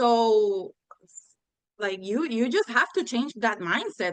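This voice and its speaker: In a Spanish accent, a woman is talking. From Puerto Rico. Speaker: law graduate retaking bar exam. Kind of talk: interview conversation. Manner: halting, self-correcting.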